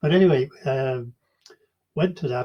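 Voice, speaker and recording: Speaking at a moderate pace, a man with a medium pitch and ordinary pitch variation sounds somewhat breathy. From Ireland, Donegal (Inishowen, near Derry). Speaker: oral history interviewee. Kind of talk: oral history interview. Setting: online video call. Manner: hesitant, many fillers.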